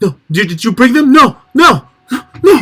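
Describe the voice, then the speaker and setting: In a put-on character voice, a man speaks with an extremely high pitch and very wide pitch swings. His voice is raised and projected, at a moderate pace. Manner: panicked and hushed.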